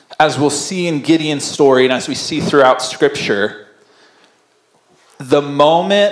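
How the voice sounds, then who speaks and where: A man is speaking with audible room echo. The background is quiet. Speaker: pastor. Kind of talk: sermon. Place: church. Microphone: handheld.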